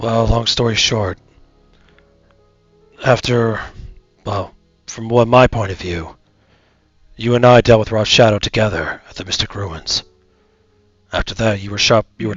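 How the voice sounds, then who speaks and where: In a put-on character voice, a man talks at a moderate pace with a raspy, medium pitch, fairly even intonation, big swings in loudness and long, frequent pauses, while faint music plays in the background. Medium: virtual streamer. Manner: sighing, weary.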